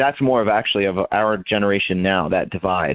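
A plain, everyday voice speaks at a moderate pace. Its pitch variation is ordinary. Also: man. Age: 20s. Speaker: army veteran and writer. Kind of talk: interview.

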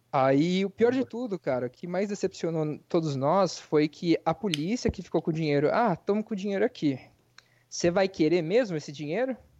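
At a fairly quick pace, a man with a high voice speaks with lively intonation against a quiet background, the sound dry and close with no echo. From interior of São Paulo state, Brazil. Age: 20s. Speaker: real estate agent and part-time streamer. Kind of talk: casual podcast interview.

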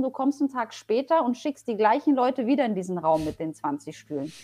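A woman's high-pitched voice. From Poland, raised in Germany (Paderborn area). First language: Polish (speaking German). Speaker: public transport executive. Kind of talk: interview.

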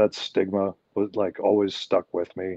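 A man's fairly low voice with a western Canadian accent. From Canada, Alberta. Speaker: professional wrestler. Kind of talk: interview.

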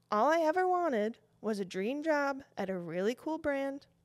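Lively intonation carries this voice in a Western New York accent at a moderate pace. The recording is very clean, with a silent background. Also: woman. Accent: Western New York American. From Buffalo, New York. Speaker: fashion designer and podcast host. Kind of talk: scripted podcast intro monologue.

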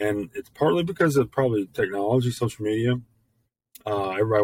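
A man with a Memphis accent speaks with ordinary pitch variation. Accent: Southern US (Memphis). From US South. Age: 40s. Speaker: podcast host. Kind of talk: casual monologue. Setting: home studio. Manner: halting, many fillers.

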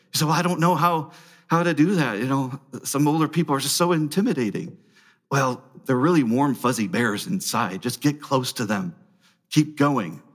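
The speech moves at a moderate pace, with lively intonation and vocal fry. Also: man, fairly high pitch for a man. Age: 40s. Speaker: pastor. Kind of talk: sermon.

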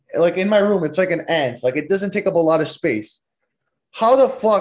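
Against a quiet background, a high-pitched man speaks at a moderate pace in an animated tone. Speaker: podcast host. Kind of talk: casual solo storytelling monologue.

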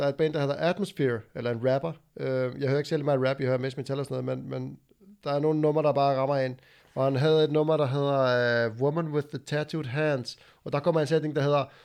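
Speaking at a very fast pace, a man keeps a fairly even intonation in a fairly high pitch. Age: 30s. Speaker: podcast host, former tradesman and powerlifter. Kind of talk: casual chat.

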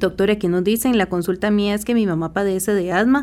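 In a very clean recording with a silent background, a woman with a normal speaking voice talks at a fairly quick pace, medium in pitch with ordinary pitch variation. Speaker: radio host. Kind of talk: radio health show hosting. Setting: radio studio.

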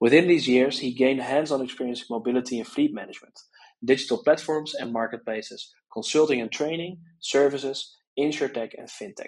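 The speaker has a normal speaking voice with ordinary pitch variation. Loudness swings widely while the pace stays fairly quick. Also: man, medium pitch for a man. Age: 20s. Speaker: podcast host. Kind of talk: interview; scripted intro.

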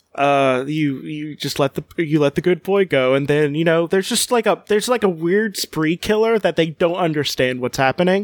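Speaking at a moderate pace with hardly any pauses, a man uses a fairly high pitch and ordinary pitch variation. The sound is dry and close, with no echo. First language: Spanish. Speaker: podcast host.

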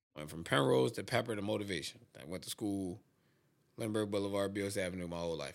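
A man speaks at a very fast pace in a fairly low voice with ordinary pitch variation. The recording is very clean, with a silent background. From Philadelphia, Southwest Philly. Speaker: podcast host. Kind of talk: casual chat.

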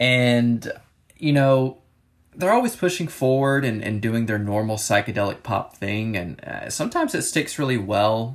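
Pitched at a medium level, a man speaks at a moderate pace with ordinary pitch variation. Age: 20s. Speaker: music review podcaster. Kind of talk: solo casual music review. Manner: frequent filler words and hesitations.

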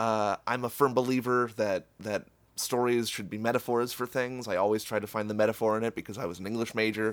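A man speaks fairly quickly in a monotone, flat intonation with hardly any pauses, on a very clean recording with a silent background. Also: medium pitch for a man. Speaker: podcast co-host. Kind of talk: casual chat.

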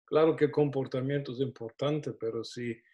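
A man talks at a medium pitch with fairly even intonation. His voice is somewhat breathy. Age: 60s. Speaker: pastor. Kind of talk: teaching interview. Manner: hesitant, repeats words.

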